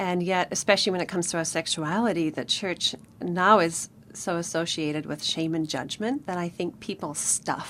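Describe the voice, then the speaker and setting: Speaking with a southern African accent, a woman keeps a moderate pace. Her voice is fairly low, with ordinary pitch variation. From Namibia. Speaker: author. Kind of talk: radio interview. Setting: studio.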